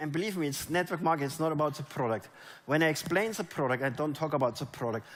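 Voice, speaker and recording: A man speaks in a German accent with ordinary pitch variation. His pitch is fairly high. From Germany. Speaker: network marketing leader. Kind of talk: motivational talk. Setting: stage with audience. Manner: animated.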